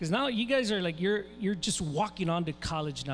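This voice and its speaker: A man speaks with an American accent. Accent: Tejano South Texas English. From South Texas, Rio Grande Valley. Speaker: event moderator, professor. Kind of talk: event emceeing. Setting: stage at school assembly.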